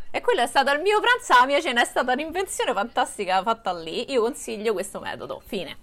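Very fast, nearly pauseless speech with very wide pitch swings over noticeable background noise. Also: woman, high pitch for a woman. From Rome, Italy. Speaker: vegan content creator. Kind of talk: casual chat.

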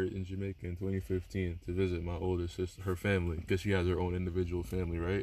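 A man's voice sits at a very deep, low pitch. He speaks at a fairly quick pace. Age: 20s. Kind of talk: casual chat.

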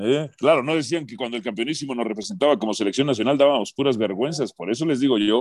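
This man's voice sits fairly high in pitch. His intonation is lively. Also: dry, close sound with no echo. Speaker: sports radio host. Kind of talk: sports talk radio debate. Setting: radio studio. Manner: animated.

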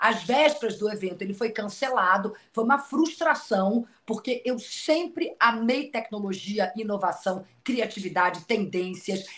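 A woman with a normal speaking voice talks at a fairly slow pace and fairly high pitch, her intonation lively and her speech running on with hardly any pauses. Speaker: TV presenter and journalist. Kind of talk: casual chat.

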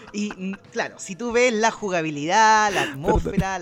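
Music in the background beneath a man speaking with lively intonation. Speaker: video game news podcast host. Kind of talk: casual chat. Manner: loud.

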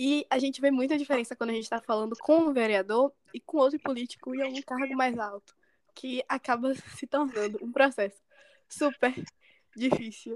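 High in pitch, a woman speaks at a moderate pace in a dry, close sound with no echo. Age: young. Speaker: podcast host. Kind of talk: podcast interview.

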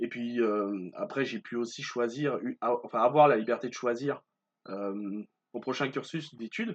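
A man's voice at a medium pitch, with ordinary pitch variation, comes through against a quiet background. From Martinique. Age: 20s. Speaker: podcaster and student. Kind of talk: solo podcast monologue. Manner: hesitant, many fillers.

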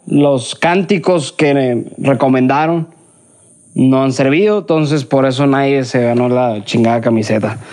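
With a plain, everyday voice, a man speaks at a fairly slow pace and a fairly high pitch, his intonation lively. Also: very even loudness. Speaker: podcast host. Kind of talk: casual chat. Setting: outdoors in the countryside.

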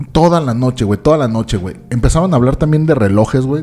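Very fast delivery from a man, medium in pitch, with ordinary pitch variation. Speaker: comedy podcast host. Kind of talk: casual chat. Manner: animated.

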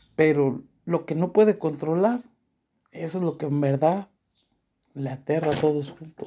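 A man speaks at a fairly slow pace with a fairly high pitch, a dark, mellow tone, ordinary pitch variation, and long, frequent pauses. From Mexico, León, Guanajuato. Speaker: podcaster. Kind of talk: personal monologue of reflections.

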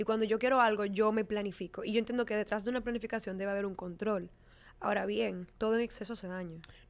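A woman at a fairly high pitch and a very fast pace, with fairly even intonation, in a very clean recording against a silent background. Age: 20s. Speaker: fashion stylist. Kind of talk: casual chat.

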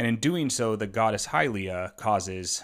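Moderate pace, an ordinary speaking voice. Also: man. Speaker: podcast co-host. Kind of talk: casual chat.

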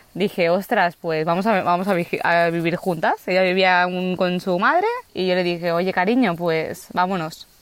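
Over noticeable background noise, a woman speaks at a medium pitch and a moderate pace with hardly any pauses. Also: fairly even intonation, very even loudness. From Spain, Barcelona. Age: 20s. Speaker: human resources worker, van-life traveller. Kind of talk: interview conversation. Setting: outdoors on a rural plot. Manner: halting, many repetitions.

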